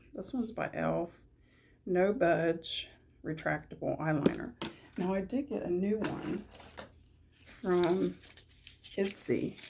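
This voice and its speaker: With noticeable background noise behind her, a woman with a fairly low voice speaks at a very slow pace, using lively intonation and long, frequent pauses. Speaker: beauty vlogger. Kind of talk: casual chat. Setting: at home. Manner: quiet.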